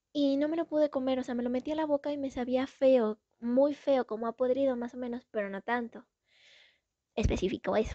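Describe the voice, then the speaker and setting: Against a quiet background, a woman with a high, dark, mellow voice speaks at a fairly quick pace with fairly even intonation, the sound dry and close with no echo. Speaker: TikTok storyteller. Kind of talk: casual storytelling.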